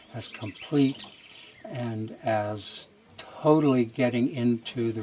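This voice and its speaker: A man talks at a medium pitch. Noticeable noise runs in the background. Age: 70s. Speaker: retreat participant. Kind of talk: testimony. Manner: hesitant with fillers.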